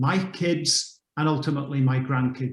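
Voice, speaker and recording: Somewhat breathy, a man's voice keeps a fairly even intonation. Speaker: mentor on a panel. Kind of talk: panel discussion.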